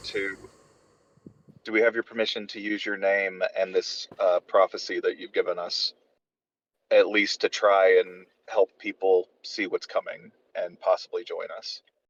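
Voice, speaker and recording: A raspy put-on character voice from a man, at a moderate pace with long, frequent pauses. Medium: actual play. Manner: polite, careful.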